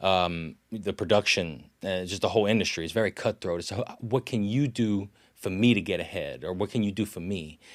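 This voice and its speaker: On a very clean recording with a silent background, a man with a south Louisiana accent talks at a fairly quick pace in a fairly low pitch with ordinary pitch variation. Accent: south Louisiana accent, noticeable. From south Louisiana (Lafourche, Grand Isle). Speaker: actor and folklore storyteller. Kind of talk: casual interview. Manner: casual, with many fillers and restarts.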